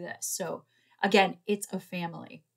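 Her intonation fairly even, a woman speaks. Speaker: tarot reader, coach. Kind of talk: casual vlog chat promoting programs. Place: home room. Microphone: webcam.

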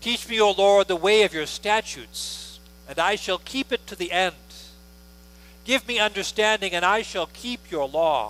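Bright and sharp in tone, a man speaks at a fairly slow pace. The sound is dry with no echo. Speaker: pastor leading worship. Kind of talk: liturgy and announcements. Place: church.

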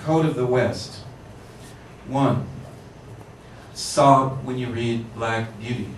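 A man speaks at a very slow pace with long, frequent pauses and fairly even intonation, amid light background noise and audible room echo. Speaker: poet reading. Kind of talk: poetry reading to a live audience, performed. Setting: bookshop reading, with microphone. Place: shop.

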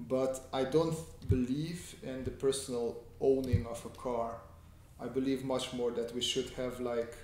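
Room echo is audible under a man speaking at a fairly slow pace, along with light background noise. His intonation stays fairly even. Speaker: artist streaming a sketching tutorial. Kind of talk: casual livestream chat answering viewers. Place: home room.

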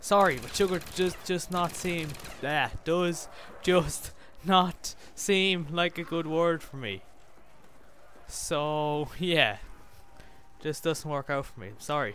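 At a very slow pace with long, frequent pauses, a speaker with an Irish accent uses a bright, sharp tone, ordinary pitch variation and big swings in loudness, in a dry sound with no echo over light background noise. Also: man, high pitch for a man. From Ireland. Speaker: gaming YouTuber. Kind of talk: live gameplay commentary. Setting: home recording with microphone. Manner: animated.

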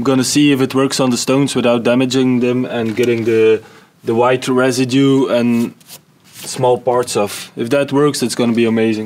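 At a moderate pace, a man speaks in a monotone with flat intonation. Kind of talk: casual vlog chat. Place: garden. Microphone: camera far.

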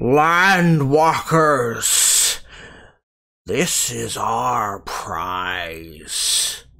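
A man's put-on character voice at medium pitch. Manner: aggressive, triumphant.

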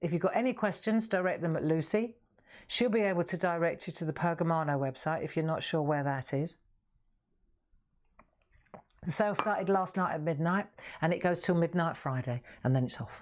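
Here a woman talks at a fairly quick pace. Her pitch is fairly low, with ordinary variation. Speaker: craft show host. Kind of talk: casual live-stream chat. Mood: cheerful, chatty. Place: studio.

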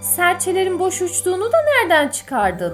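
Someone speaks at a fairly slow pace with music playing in the background. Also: woman. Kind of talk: children's fairy tale narration. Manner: expressive.

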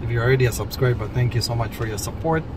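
Recorded with a dry sound and no echo, a man speaks over noticeable background noise. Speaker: vlogger. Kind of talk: casual vlog chat. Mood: relaxed, friendly. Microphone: phone near.

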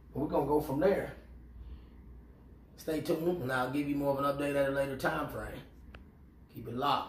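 Over light background noise and audible room echo, a man talks at a fairly quick pace with monotone, flat intonation. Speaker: fragrance vlogger. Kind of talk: casual vlog chat. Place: home room. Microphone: camera far.

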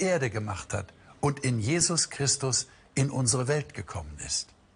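Moderately paced speech with lively intonation. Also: man. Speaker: presenter. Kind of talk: sermon-like presentation. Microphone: lapel.

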